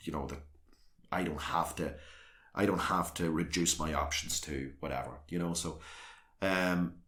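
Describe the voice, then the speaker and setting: Over audible room echo, a man with a Northern Irish accent speaks in a very deep, low voice with monotone, flat intonation. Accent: South Armagh Northern Irish. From Northern Ireland, South Armagh. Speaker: local councillor. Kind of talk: interview.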